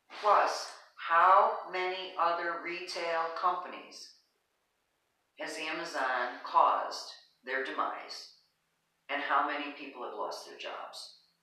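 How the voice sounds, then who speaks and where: With audible room echo, a woman speaks with ordinary pitch variation, big swings in loudness and long, frequent pauses. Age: 60s. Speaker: wellness podcast host. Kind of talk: casual chat. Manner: animated.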